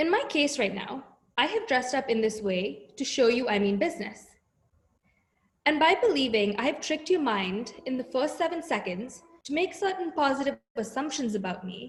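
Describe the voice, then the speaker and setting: A woman at a high pitch, very wide pitch swings, and a moderate pace. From India. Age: 20s. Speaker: talk speaker. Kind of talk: prepared talk.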